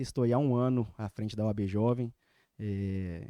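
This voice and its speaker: The recording is very clean with a silent background and a dry, close sound with no echo. A man speaks with a dark, mellow tone, fairly low pitch and fairly even intonation. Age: 20s. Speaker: lawyer, young lawyers' association president. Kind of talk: casual interview. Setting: studio.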